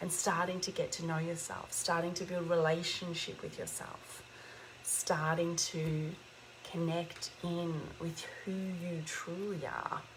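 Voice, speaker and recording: A woman's fairly low voice, fairly slow and monotone with flat intonation, in a room with audible echo. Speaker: spiritual teacher livestreamer. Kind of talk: inspirational livestream talk. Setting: livestream.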